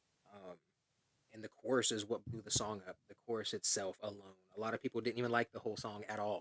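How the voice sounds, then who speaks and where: A man talks at a very fast pace with a fairly low pitch. His intonation is flat and monotone, and the sound is dry and close with no echo. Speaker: rapper. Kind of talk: casual chat.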